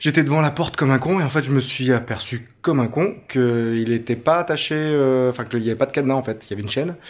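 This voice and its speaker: A man speaks with a French accent at a medium pitch. His pace is fairly quick. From France. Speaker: travel vlogger. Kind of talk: travel vlog. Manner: casual, hesitant with many fillers.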